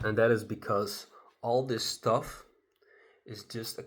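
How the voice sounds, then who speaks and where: With a non-native accent, a man speaks fairly slowly at a fairly low pitch. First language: not English. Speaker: solo vlogger. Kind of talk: casual monologue to camera. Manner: halting, many fillers. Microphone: not using his good microphone.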